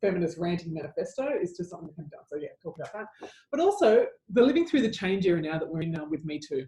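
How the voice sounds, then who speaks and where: In an Australian accent, a woman with a fairly low pitch and a dark, mellow, somewhat breathy tone talks at a very fast pace with hardly any pauses and big swings in loudness. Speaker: advertising commentator and speaker. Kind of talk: casual chat.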